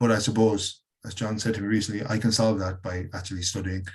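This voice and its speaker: With an Irish accent, a man speaks at a very fast pace in a fairly low, somewhat breathy voice. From Ireland. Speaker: educator and workshop leader. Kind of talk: webinar presentation.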